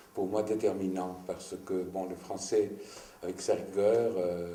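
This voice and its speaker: With audible room echo and noticeable background noise, a man speaks at a fairly low pitch and a fairly slow pace. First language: Greek (speaking French). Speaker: writer. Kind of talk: interview. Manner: halting.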